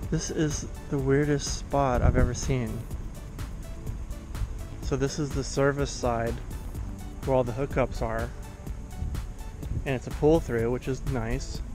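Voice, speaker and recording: Against clear music in the background, a man speaks at a fairly slow pace with long, frequent pauses, the sound dry with no echo. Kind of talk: casual vlog chat. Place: open country. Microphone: phone near.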